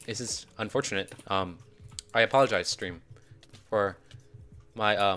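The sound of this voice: A man speaks at a fairly low pitch with a bright, sharp tone. His pace is fairly slow, and his pitch varies in an ordinary way.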